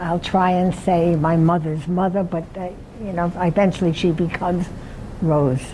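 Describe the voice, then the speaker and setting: A woman with a fairly low voice speaks at a moderate pace. Noticeable background noise is present. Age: 80s+. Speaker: retirement community resident telling life story. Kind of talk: life story talk. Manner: halting.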